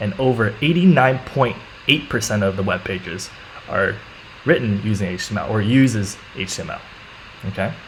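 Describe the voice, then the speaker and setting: Noticeable background noise surrounds a man talking. He moves at a fairly quick pace with lively intonation. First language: not English. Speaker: coding teacher and live streamer. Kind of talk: live-streamed coding tutorial. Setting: live stream. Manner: casual, with many fillers.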